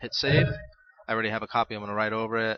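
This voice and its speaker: Medium in pitch, this man's voice stays monotone and flat in intonation. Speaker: tutorial host. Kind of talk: tutorial. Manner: fast.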